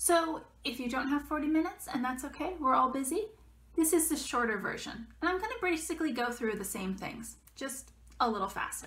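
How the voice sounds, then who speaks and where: A woman with a high pitch talks at a fairly quick pace with lively intonation. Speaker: author. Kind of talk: casual talk to camera. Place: home room. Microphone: webcam.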